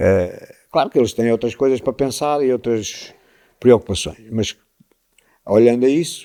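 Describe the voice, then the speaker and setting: A medium-pitched man with a dark, mellow tone speaks at a fairly slow pace, using ordinary pitch variation and long, frequent pauses. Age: 70s. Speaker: local fado figure. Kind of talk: podcast interview.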